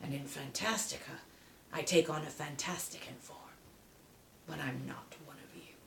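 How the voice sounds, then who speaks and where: A woman whispers in a put-on character voice, leaving long, frequent pauses. Clear background noise sits behind her. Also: moderate pace. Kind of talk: bedtime story read aloud. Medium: read story. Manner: sardonic, menacing.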